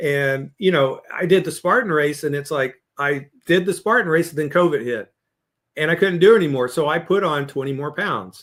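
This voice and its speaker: An unremarkable speaking voice from a man, fairly high in pitch, with lively intonation and a moderate pace. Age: 60s. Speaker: leadership coach and author. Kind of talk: podcast interview.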